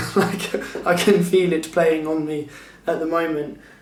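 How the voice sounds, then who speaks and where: A man talks at a fairly slow pace in a fairly high pitch with a flat, monotone delivery. The room echo is audible. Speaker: vlogger. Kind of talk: casual vlog talk.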